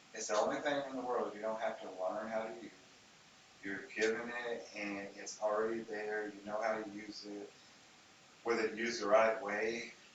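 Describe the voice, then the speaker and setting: Over noticeable background noise and audible room echo, a man talks at a moderate pace in a fairly low pitch, his intonation monotone and flat while his loudness swings widely. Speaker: podcast host. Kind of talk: casual chat.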